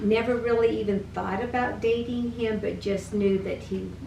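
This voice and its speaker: A woman with an American accent talks at a fairly slow pace, with audible room echo. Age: 70s. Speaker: interviewee, grandmother. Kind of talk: interview.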